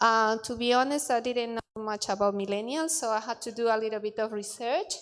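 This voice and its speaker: In a Spanish accent, a woman speaks at fairly high pitch with fairly even intonation. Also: very clean recording, silent background. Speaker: bible college student. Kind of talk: class presentation. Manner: halting, many fillers.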